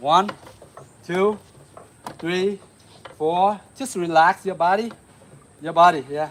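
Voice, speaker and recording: Through noticeable background noise, a man with a Vietnamese accent speaks fairly slowly at a high pitch. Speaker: martial arts instructor. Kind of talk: live-stream martial arts class. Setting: outdoors. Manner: animated.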